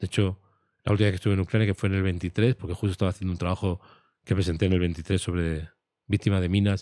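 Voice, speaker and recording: Recorded very cleanly against a silent background, a man speaks with a very deep, low pitch and a dark, mellow tone, his intonation fairly even and the sound dry and close with no echo. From Spain. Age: 60s. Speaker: war photojournalist. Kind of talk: interview conversation.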